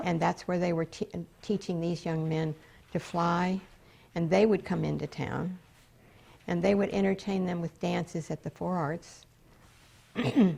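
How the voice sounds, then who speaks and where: On a very clean recording with a silent background, a woman with an American accent speaks at a fairly slow pace with long, frequent pauses. Her voice is somewhat breathy, fairly low in pitch, dark and mellow in tone, with fairly even intonation. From West Palm Beach, Florida. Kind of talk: interview answer.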